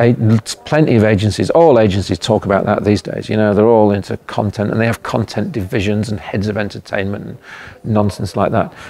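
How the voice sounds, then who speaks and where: Against noticeable background noise, a man talks in a fairly low pitch with fairly even intonation. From Leeds, England. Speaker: advertising creative director. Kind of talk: interview answer. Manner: casual, hesitant.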